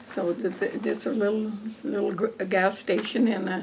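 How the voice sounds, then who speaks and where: Noticeable background noise sits behind the recording. A woman with an American accent speaks at a moderate pace. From northern Colorado, near Windsor. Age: 80s+. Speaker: farm wife, oral history interviewee. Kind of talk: oral history interview.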